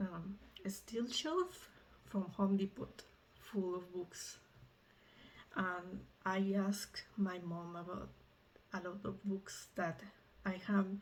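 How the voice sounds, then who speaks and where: Speaking very slowly with long, frequent pauses, a woman with a Mexican accent uses a medium pitch. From Mexico. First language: Spanish. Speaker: medical student vlogger. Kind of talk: casual vlog. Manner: halting, with fillers.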